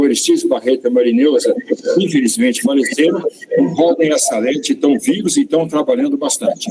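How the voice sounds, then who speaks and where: With noticeable background noise behind him, a high-voiced man talks in very wide pitch swings. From Brazil, countryside (caipira). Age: 70s. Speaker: professor. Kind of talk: lecture. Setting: auditorium with audience. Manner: halting, with fillers.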